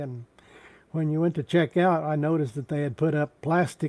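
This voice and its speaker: In a Texan accent, a man speaks with a dark, mellow tone. His intonation is fairly even. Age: 70s. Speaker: YouTube live streamer. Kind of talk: casual live stream chat. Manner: halting.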